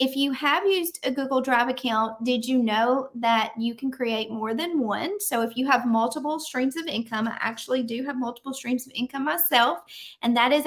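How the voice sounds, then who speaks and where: A woman with a Southern accent speaks in a high pitch at a moderate pace. Her pitch varies in an ordinary way, and she leaves hardly any pauses. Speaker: business coach. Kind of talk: tutorial. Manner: casual, with frequent fillers.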